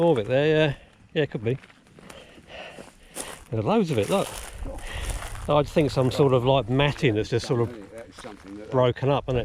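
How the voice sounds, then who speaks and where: Noticeable background noise surrounds a man speaking at a medium pitch with ordinary pitch variation. He talks fairly quickly but with long, frequent pauses. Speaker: video host. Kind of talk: casual conversation outdoors.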